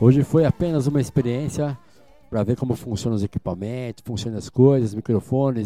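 A man talks at a fairly quick pace in a dry, close sound with no echo, with music in the background. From Brazil, São Paulo. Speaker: DJ. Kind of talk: live DJ radio show. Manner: animated.

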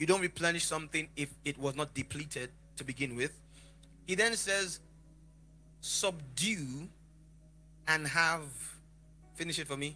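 At a moderate pace, a man with a fairly high pitch speaks in a bright, sharp, animated tone, with ordinary pitch variation and long, frequent pauses. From Lagos, Nigeria. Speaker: preacher. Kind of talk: sermon. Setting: church with live congregation. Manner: animated, interactive.

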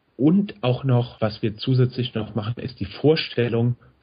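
A man with a medium-pitched, somewhat breathy voice speaks at a fairly slow pace with ordinary pitch variation. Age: 30s. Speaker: podcast host. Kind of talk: casual chat.

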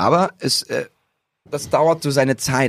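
A man speaks in an animated tone. The recording is very clean, with a silent background and a dry, close sound with no echo. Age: 30s. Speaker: breakdancer. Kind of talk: casual chat. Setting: studio.

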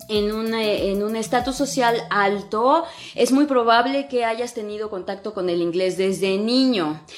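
A woman speaks with a Mexican accent at a fairly slow pace. Music plays in the background. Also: fairly high pitch for a woman, ordinary pitch variation. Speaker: English teacher and podcast host. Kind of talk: casual Instagram live talk. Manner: animated, colloquial.

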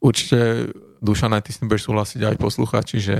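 This man talks at a fairly quick pace with a fairly low pitch and vocal fry. The sound is dry and close with no echo, and his intonation stays fairly even. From Slovakia, Bratislava (Devínska Nová Ves). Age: 30s. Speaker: ecologist and climate scientist. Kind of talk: interview. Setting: studio.

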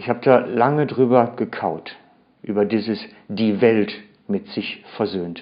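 The man's voice is medium in pitch. It rises and falls in an ordinary way. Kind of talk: sermon. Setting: church. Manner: earnest, expository, emphatic; careful, formal standard German.

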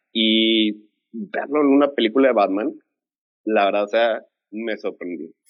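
A man with a Mexican accent speaks at a fairly slow pace with long, frequent pauses. His pitch is medium with ordinary variation. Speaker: film fan panelist. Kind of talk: casual chat.

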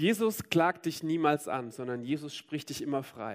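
A man speaks at a fairly slow pace. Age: 30s. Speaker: preacher. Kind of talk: sermon.

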